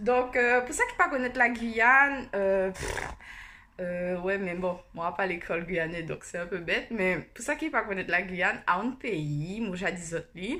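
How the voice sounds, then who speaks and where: Speaking at a fairly slow pace, a woman uses a medium pitch and a bright, sharp tone with lively intonation. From French Guiana (Cayenne area). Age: 20s. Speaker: beauty youtuber. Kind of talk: casual vlog. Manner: hesitant, many fillers.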